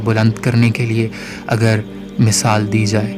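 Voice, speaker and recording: A man's medium-pitched voice comes through with noticeable noise in the background. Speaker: radio jockey. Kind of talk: Islamic radio talk on Karbala.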